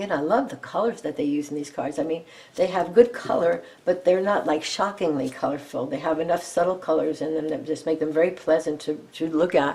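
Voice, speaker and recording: Against noticeable background noise, a woman with a fairly low pitch speaks at a fairly quick pace with ordinary pitch variation. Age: 70s. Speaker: tarot and oracle card youtuber. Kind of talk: deck review and card run-through. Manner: casual, reading card texts aloud with comments.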